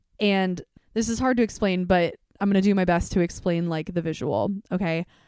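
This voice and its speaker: Recorded very cleanly over a silent background, a woman talks at medium pitch with ordinary pitch variation, the sound dry and close with no echo. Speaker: podcast host. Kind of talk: solo podcast monologue. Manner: loud; casual, conversational.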